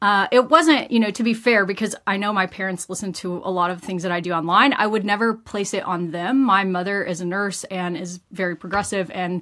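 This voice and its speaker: In a very clean recording with a silent background, a woman speaks with a Texan accent. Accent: Texan American. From US, rural West Texas. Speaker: doctor. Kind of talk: interview.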